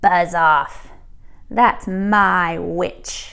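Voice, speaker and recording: Putting on a character voice, a woman sounds croaky and growling. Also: medium pitch for a woman. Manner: gruff, menacing.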